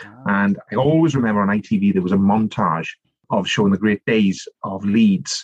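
In a South Wales accent, a man speaks at a fairly low pitch with ordinary pitch variation, the sound dry and close with no echo. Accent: South Wales Valleys Welsh. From South Wales (Rhondda Valleys). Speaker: politician and author. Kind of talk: casual interview.

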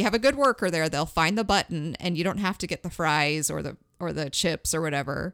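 A woman with an ordinary speaking voice, fairly low in pitch, with lively intonation, in a dry, close, very clean recording with a silent background and no echo. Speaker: podcast host. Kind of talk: casual chat.

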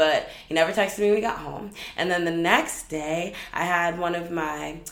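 A woman talks at a fairly slow pace with fairly even intonation, with audible room echo and noticeable background noise. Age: 20s. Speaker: podcast host; filmmaker. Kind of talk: casual monologue.

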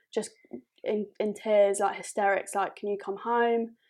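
In a southern English accent, a woman with a fairly high pitch speaks at a moderate pace in a monotone, flat intonation on a very clean recording with a silent background. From southern England. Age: 20s. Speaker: podcast guest. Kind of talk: casual chat.

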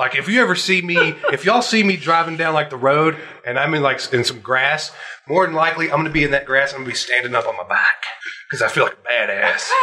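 A fairly high-pitched man at a very fast pace, with ordinary pitch variation and noticeable background noise. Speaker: podcast host. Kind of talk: casual chat. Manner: animated.

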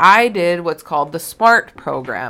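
A woman with a Canadian accent, bright, sharp tone and lively intonation, at a fairly slow pace. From Alberta, Canada. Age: 20s. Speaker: podcast host. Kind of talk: personal monologue. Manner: casual, filler-heavy.

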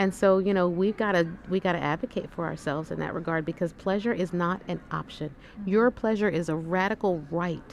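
A woman's fairly low voice at a fairly quick pace. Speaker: breast cancer surgeon. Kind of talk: casual interview. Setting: conference exhibit booth. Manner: animated.

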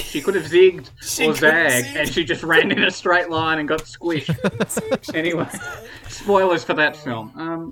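Noticeable background noise sits behind a voice moving at a moderate pace with ordinary pitch variation. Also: man. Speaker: podcast co-host. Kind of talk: casual, joking banter.

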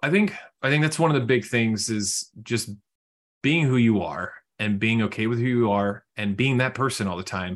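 At a moderate pace, a man talks in an ordinary speaking voice with medium pitch and ordinary pitch variation. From Houston, Texas. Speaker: financial advisor. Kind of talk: casual interview.

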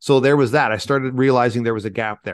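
Here a man has a normal speaking voice at medium pitch, moving at a fairly quick pace with ordinary pitch variation. The sound is dry and close, with no echo. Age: 40s. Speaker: military veteran and leadership speaker. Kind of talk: interview.

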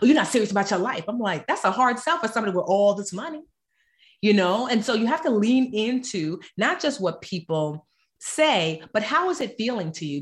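Against a quiet background, a woman with an American accent talks fairly quickly in a fairly high, somewhat breathy voice with very wide pitch swings. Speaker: author and personal finance expert. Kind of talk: casual interview chat.

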